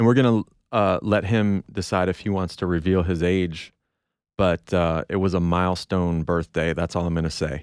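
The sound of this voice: Recorded very clean with a silent background and a dry, close sound with no echo, a man with a very deep, low pitch speaks at a moderate pace with fairly even intonation.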